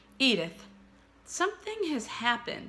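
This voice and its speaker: In a put-on character voice, a woman speaks high and at a moderate pace, her pitch swinging very widely. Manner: solemn, shaken.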